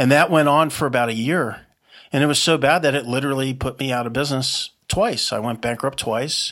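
A man's plain, everyday voice, fairly high-pitched for a man, with fairly even intonation and a fairly quick pace, on a very clean recording with a silent background. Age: 50s. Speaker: entrepreneur. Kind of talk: podcast interview.

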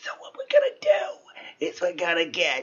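Moderate pace in a put-on character voice

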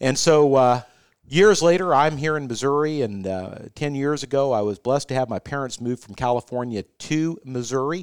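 A man's plain, everyday voice, fairly high in pitch, with ordinary pitch variation and a moderate pace, on a very clean recording with a silent background. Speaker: senior care executive. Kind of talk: casual interview.

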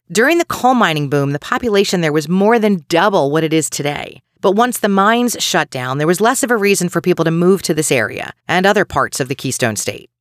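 Delivered in a Philadelphia accent, the speech goes at a fairly quick pace with hardly any pauses. The recording is very clean, with a silent background. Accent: Delco (Delaware County, Pennsylvania). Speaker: true crime podcast host. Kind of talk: scripted narration.

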